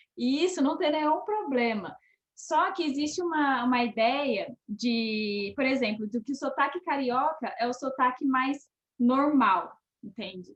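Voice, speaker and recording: Her intonation is lively. This woman has a high pitch and a fairly slow pace. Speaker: actress. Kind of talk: casual chat.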